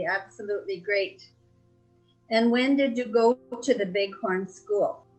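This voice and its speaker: A woman's fairly high voice with lively intonation at a fairly slow pace, music in the background. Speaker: family interviewer. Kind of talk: interview questions.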